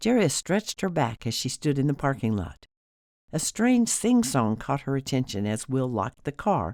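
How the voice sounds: Over a quiet background comes a natural reading voice.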